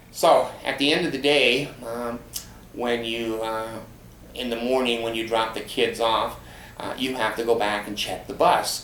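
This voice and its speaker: Amid audible room echo and noticeable background noise, a man speaks at a fairly slow pace with fairly even intonation. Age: 70s. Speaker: vlogger. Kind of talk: personal storytelling monologue. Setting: home, in easy chair. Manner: hesitant, many fillers.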